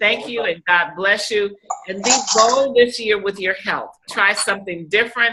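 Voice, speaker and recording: Intonation stays fairly even at a moderate pace. It is an unremarkable speaking voice. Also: woman, medium pitch for a woman. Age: 60s. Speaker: life coach and show host. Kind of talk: casual chat.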